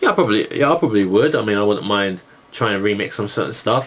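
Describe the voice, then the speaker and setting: A man talks at a very fast pace. His voice is fairly low, with noticeable background noise around it. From England, East London. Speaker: YouTuber, gamer and music producer. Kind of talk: video Q&A, casual chat. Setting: recording at home at night with night shot camera. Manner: halting, many fillers.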